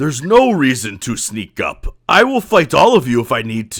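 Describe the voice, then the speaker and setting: A man performs a put-on character voice. His loudness swings widely. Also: fairly high pitch for a man, moderate pace. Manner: menacing, commanding.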